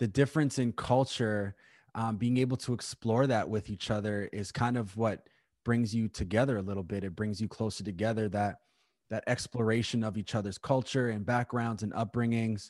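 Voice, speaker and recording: A man's normal speaking voice, medium in pitch, with ordinary pitch variation at a moderate pace. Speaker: podcast host. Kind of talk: casual interview chat. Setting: remote call.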